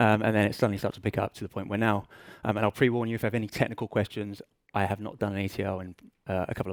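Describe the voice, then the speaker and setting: A man with an English accent speaks very fast in a fairly low voice. The recording is very clean with a silent background and a dry, close sound with no echo. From England. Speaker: business intelligence director. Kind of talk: conference talk. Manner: hesitant, many fillers.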